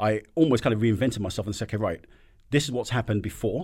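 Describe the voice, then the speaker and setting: A man's fairly low voice with a somewhat breathy quality. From African background, raised in UK. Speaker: business owner, entrepreneur.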